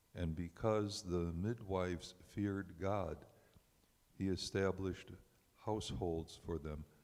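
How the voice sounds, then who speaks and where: The man's pitch is very deep and low, and his intonation is fairly even. He speaks at a very slow pace with long, frequent pauses. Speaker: congregant. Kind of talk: reading scripture aloud. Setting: synagogue service, on microphone. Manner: halting over names.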